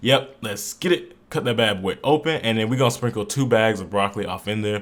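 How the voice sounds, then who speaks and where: A man speaks in an animated tone at a medium pitch, with ordinary pitch variation and a fairly quick pace. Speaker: fitness vlogger. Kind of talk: voiceover narration. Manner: fast; casual, animated.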